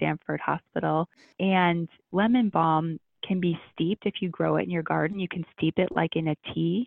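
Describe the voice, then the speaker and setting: An unremarkable speaking voice with an American accent, fairly even intonation and a moderate pace. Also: woman. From US Midwest (Ohio). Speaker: integrative medicine doctor. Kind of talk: interview.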